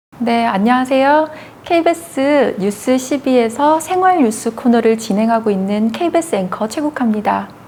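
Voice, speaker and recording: Over noticeable background noise, a woman with a high pitch talks at a moderate pace, her intonation lively and her loudness very even. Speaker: news anchor. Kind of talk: interview. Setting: seated in wheelchair.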